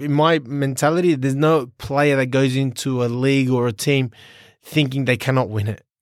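A man with a fairly high pitch is heard in a very clean recording with a silent background. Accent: Australian. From Sydney, Australia. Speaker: professional footballer. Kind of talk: interview.

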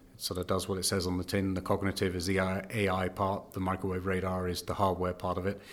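A very fast British-accented man with a very deep, low pitch. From Britain. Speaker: tech company CEO. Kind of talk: interview. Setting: conference venue.

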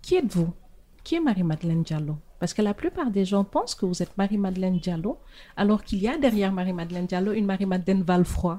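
Very fast, somewhat breathy speech from a woman at medium pitch, in a dark, mellow tone. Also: ordinary pitch variation. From Senegal, Saint-Louis. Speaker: podcast host. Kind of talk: interview.

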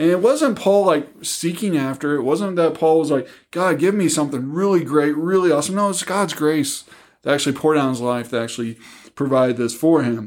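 In a very clean recording with a silent background, a man uses a normal speaking voice, fairly high in pitch, at a fairly quick pace with ordinary pitch variation. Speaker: pastor or ministry guest. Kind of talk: casual Bible discussion.

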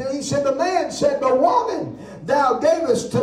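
A man with an extremely high pitch talks fairly slowly in an animated tone with ordinary pitch variation, noticeable background noise behind him. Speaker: preacher. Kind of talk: sermon. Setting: church service with congregation. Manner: animated, punctuated with amens and hallelujahs.

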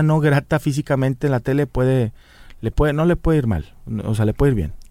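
A man with a northern Mexican accent and a dark, mellow tone is heard in a dry, close recording with no echo and a silent background, very clean throughout. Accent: northern Mexican Spanish (Monterrey). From Mexico, Monterrey. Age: 30s. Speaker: comedian and radio announcer. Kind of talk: casual chat.

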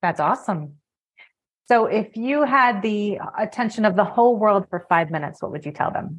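A woman's somewhat breathy, medium-pitched voice, enthusiastic in tone, with lively intonation at a moderate pace. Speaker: podcast host. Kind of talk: interview.

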